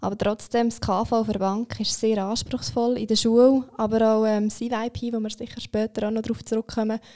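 A woman's fairly high voice with a dark, mellow tone, monotone, flat intonation, a moderate pace and hardly any pauses, in a dry, close sound with no echo. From Switzerland, Aargau (Zofingen). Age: 20s. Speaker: apprentice trainer at a bank. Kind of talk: podcast interview. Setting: studio.

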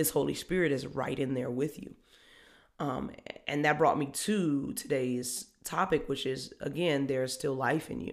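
Her voice is very deep and low for a woman, with lively intonation. She sounds animated, at a moderate pace. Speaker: podcast host. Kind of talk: motivational faith talk.

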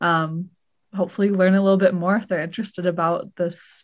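Heard against a quiet background, a woman speaks at medium pitch and a fairly quick pace. Her intonation is fairly even, in an unremarkable speaking voice. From Seattle. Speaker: podcast co-host. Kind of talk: casual chat.

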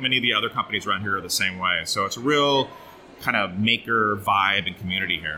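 Over music in the background, a man with an American accent talks at a very fast pace. His medium pitch shows ordinary variation. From Oregon, US. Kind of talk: casual interview.

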